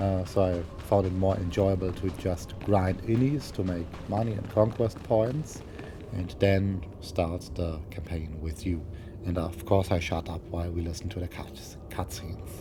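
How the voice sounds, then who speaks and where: A man with a German accent talks at a fairly slow pace in a very deep, low voice with ordinary pitch variation. Audible room echo and noticeable background noise come through the recording. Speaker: gaming YouTuber. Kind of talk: gameplay commentary. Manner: halting, many fillers.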